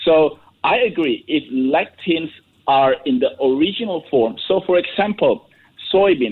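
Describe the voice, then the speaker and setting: A man's voice sits high in pitch and swings very widely. He speaks at a fairly slow pace. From Indonesia. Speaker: nutrition researcher. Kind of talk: radio interview. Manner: halting.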